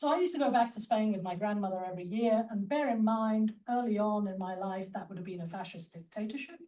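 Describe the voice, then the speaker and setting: Her British accent, fairly high pitch and lively intonation come with a dark, mellow tone and a somewhat breathy quality as the woman speaks. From England, London. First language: Spanish. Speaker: mathematician and academic leader. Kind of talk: conference talk.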